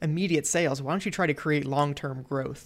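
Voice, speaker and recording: A woman speaks at a fairly quick pace with very deep, low pitch and fairly even intonation. The recording is very clean, with a silent background. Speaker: podcast co-host, designer. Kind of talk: casual chat between co-hosts. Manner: casual, filler words, halting.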